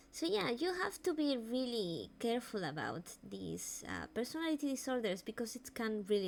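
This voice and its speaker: A woman in a Spanish accent, fairly high in pitch, with very wide pitch swings. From Spain. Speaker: vtuber streamer. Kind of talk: live stream talk on mental health. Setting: live stream. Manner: halting.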